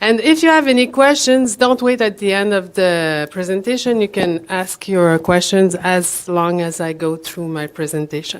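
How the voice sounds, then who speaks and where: At a moderate pace and with hardly any pauses, a woman with a Quebec accent uses lively intonation in a very clean recording with a silent background. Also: medium pitch for a woman. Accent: Québécois French accent in English. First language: French. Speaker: promotional products professional, conference speaker. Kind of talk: conference presentation. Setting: stage with audience. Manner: halting.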